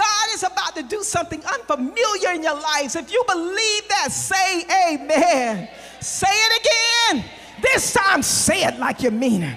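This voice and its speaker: At a fairly slow pace, a raised, projected voice with an animated tone and very wide pitch swings rises over noticeable background noise. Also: woman, extremely high pitch for a woman. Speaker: preacher. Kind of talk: sermon. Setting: church with congregation. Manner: animated, exhorting the congregation with call-and-response.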